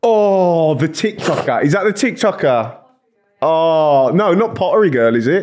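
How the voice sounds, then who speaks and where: Speaking with an English accent, a man uses a high pitch with very wide pitch swings. His loudness stays very even, and his pace is fairly slow. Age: 20s. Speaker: YouTuber. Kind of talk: casual chat.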